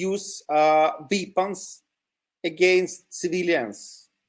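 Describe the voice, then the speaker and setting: A man with a high voice and a non-native accent speaks with ordinary pitch variation. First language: Ukrainian or Russian. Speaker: territorial defense volunteer. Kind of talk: interview. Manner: halting, many fillers.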